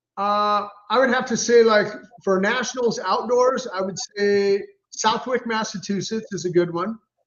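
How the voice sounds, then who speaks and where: At a moderate pace, a man with a high-pitched voice speaks with an American accent. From Los Angeles, US. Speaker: retired motocross racer. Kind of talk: interview. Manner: animated.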